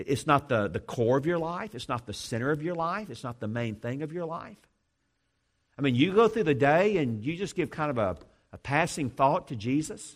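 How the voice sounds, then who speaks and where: With an ordinary speaking voice, a man talks at a moderate pace and fairly high pitch, his intonation lively, over a quiet background. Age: 50s. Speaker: seminary president. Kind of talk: sermon. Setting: church.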